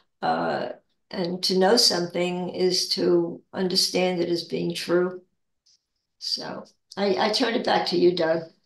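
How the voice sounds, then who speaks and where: Audible room echo surrounds a woman who speaks at a fairly slow pace. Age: 80s+. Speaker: spiritual discussion leader; guest. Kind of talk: casual spiritual chat. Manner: halting. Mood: calm, reflective. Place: home room. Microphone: video call.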